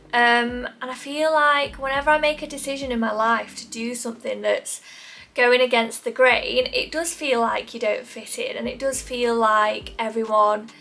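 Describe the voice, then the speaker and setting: Amid noticeable background noise, a woman with a high pitch speaks at a moderate pace with fairly even intonation and big swings in loudness. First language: not English. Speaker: lifestyle YouTuber. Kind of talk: casual chat to camera. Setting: sitting in front of camera at home.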